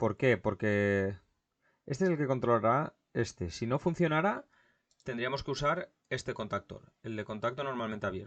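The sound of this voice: A man at medium pitch, moderately paced, with lively intonation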